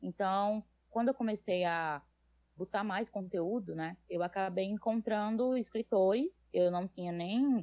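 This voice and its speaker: A woman with a northeastern Brazilian accent speaks at a fairly slow pace. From Brazil, Northeast (Natal, Rio Grande do Norte). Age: 20s. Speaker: fanfic writer, nursing student. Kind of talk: podcast interview.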